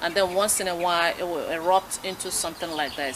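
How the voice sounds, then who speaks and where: A woman in a West African accent at a fairly quick pace, with noticeable background noise. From Nigeria. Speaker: talk show host. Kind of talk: radio interview.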